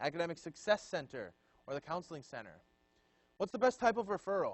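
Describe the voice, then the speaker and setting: Loud and very fast, a man talks at a high pitch with very wide pitch swings. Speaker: student leadership trainer. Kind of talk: training session lecture. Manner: casual and conversational.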